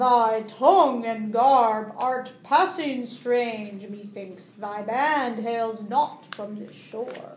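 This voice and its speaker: In a put-on character voice, a woman booms in a fairly high register, moving very slowly with big swings in loudness and ordinary pitch variation. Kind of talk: mock-medieval speech. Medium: read story. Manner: booming, archaic, commanding.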